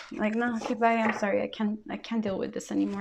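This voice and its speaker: A woman talks at a fairly quick pace in a medium pitch, her intonation fairly even over noticeable background noise. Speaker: tarot reader. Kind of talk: tarot reading monologue. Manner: casual with many fillers.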